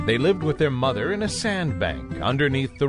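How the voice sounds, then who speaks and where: A man speaks with music playing in the background. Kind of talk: bedtime story narration for children. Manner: calming, soothing.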